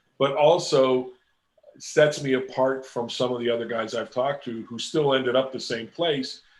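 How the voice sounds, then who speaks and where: Medium in pitch, a man has an unremarkable speaking voice. He keeps a moderate pace and fairly even intonation. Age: 60s. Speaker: comic book illustrator. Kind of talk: interview.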